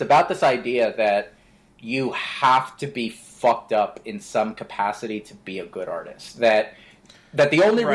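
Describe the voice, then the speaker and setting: A man with an American accent and an ordinary speaking voice talks at a fairly slow pace and medium pitch. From Florida (Orlando). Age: 20s. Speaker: podcast co-host. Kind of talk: casual chat.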